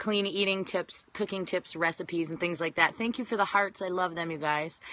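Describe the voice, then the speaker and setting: There is an American accent in this woman's speech. Her voice sits fairly low. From Washington State. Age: 30s. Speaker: fitness coach. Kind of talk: live-stream talk to viewers. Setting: live phone video stream. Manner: casual, chatty.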